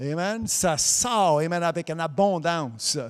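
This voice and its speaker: The recording is very clean, with a silent background. A man with an English accent speaks at a high pitch. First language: English (speaking French). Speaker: preacher. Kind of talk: sermon. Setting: broadcast also streamed on Facebook.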